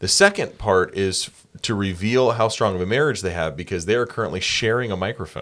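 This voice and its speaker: Speaking with an American accent and a normal speaking voice, a man talks at a fairly quick pace with hardly any pauses, a fairly low pitch, ordinary pitch variation, and big swings in loudness. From South Carolina. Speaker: church podcast host. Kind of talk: casual interview. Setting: podcast studio.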